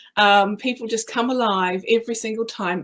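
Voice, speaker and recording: A woman with a New Zealand accent speaks at a fairly high pitch. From New Zealand, rural. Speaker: creative business owner and speaker. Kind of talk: casual interview chat.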